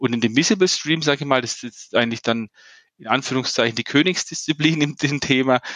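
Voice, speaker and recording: A man talks at a fairly quick pace in an ordinary speaking voice. His pitch is medium, with ordinary variation. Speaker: startup founder and CEO. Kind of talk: interview. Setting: remote call from Canada.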